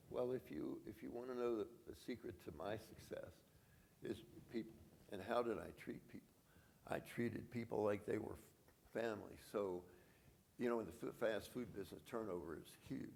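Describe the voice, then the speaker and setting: Pausing long and often, a man speaks at a moderate pace and medium pitch with ordinary pitch variation and vocal fry. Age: 80s+. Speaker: franchise business founder. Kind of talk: conference interview. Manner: halting.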